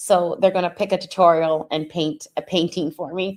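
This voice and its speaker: A woman with a fairly low pitch and an unremarkable speaking voice at a moderate pace, in a very clean recording with a silent background. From Canada. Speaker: streamer reacting to another stream. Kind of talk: casual reaction commentary.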